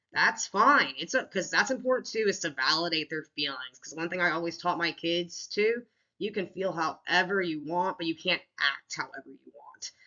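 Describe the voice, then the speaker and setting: At a moderate pace, a woman with a fairly low pitch speaks with lively intonation. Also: big swings in loudness. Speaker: teacher presenting a school counseling lesson plan. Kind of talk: recorded lesson presentation. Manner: casual, with many fillers and restarts.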